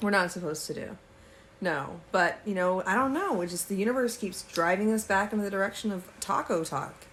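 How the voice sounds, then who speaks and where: At a fairly quick pace, a woman with a plain, everyday voice speaks at a medium pitch with ordinary pitch variation. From Texas. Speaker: podcast co-host. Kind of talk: casual chat.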